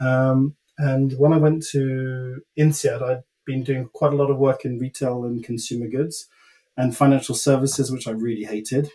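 This man's voice is dark, mellow and somewhat breathy, with medium pitch, a moderate pace and flat, monotone intonation. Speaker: former consultant and business executive. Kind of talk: casual interview chat.

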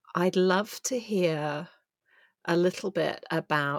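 Dry and close with no echo, a woman with an English accent speaks at a fairly low pitch with fairly even intonation. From England. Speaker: podcast host and coach. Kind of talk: casual interview.

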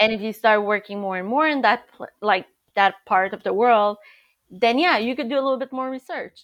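A woman with a Quebec accent talks at a fairly quick pace and a fairly high pitch. Her pitch variation is ordinary, against a quiet background. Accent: French-Canadian accent in English. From Montreal, Canada. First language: French. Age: 40s. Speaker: agency founder, PR, former journalist. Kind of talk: casual interview chat.

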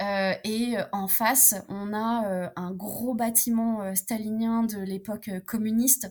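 Speaking very slowly with hardly any pauses, a woman uses a fairly high, somewhat breathy voice with monotone, flat intonation. The recording is very clean, with a silent background. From France, Romanian mother. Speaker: French-Romanian traveller sharing her experience. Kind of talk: casual interview. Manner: hesitant, many fillers and repetitions.

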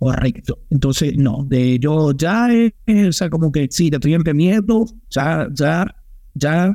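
Fairly slow and fairly high in pitch, a man speaks with a dark, mellow tone. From Venezuela, Maracaibo-born, raised in Aragua. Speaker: podcast co-host. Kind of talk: casual chat.

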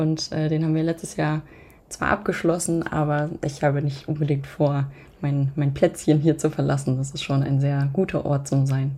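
A woman speaks at a moderate pace in a very deep, low pitch with a dark, mellow tone. Her voice is somewhat breathy, with monotone, flat intonation. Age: 20s. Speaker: podcaster. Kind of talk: casual interview.

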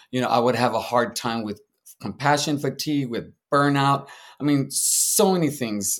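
Recorded very cleanly against a silent background, a man with a plain, everyday voice speaks at medium pitch and a moderate pace with an American accent. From San Antonio, Texas. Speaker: social worker and therapist, veteran. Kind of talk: interview.

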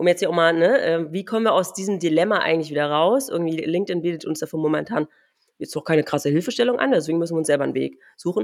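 Very fast female speech, fairly low in pitch, with ordinary pitch variation. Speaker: podcast host. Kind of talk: casual chat.

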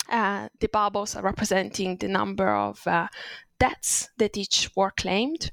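A woman with an Italian accent at a fairly slow pace. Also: dry, close sound with no echo. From Italy. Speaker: designer and illustrator. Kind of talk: interview conversation.

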